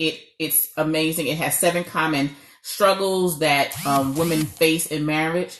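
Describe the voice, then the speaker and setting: Fairly low in pitch, a woman speaks with a New York accent at a moderate pace. Behind her the background is quiet. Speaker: marriage coach. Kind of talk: live stream talk.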